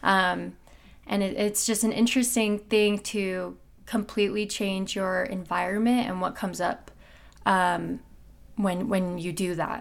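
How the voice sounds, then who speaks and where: A woman with an American accent speaks in an unremarkable speaking voice at medium pitch, keeping a fairly slow pace and fairly even intonation. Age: 20s. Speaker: singer and musician. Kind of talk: casual interview.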